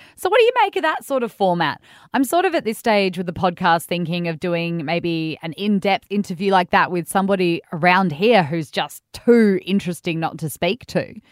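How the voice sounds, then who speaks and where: Someone speaks with an Australian accent at a moderate pace, with hardly any pauses and ordinary pitch variation. The recording is very clean with a silent background, dry and close with no echo. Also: woman, medium pitch for a woman. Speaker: radio host. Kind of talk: interview. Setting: studio. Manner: chatty, laughs often.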